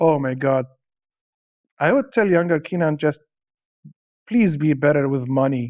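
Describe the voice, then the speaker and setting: A man with an Arabic accent speaks at a moderate pace in a fairly high pitch, with ordinary pitch variation and long, frequent pauses. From Syria (born in Dubai). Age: 40s. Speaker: stand-up comedian. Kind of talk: casual interview chat. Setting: studio.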